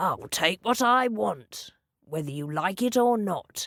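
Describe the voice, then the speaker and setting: Growling in a put-on character voice, a female-sounding voice speaks at a medium pitch for a woman and a fairly slow pace. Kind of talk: gruff, aggressive. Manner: growling, threatening.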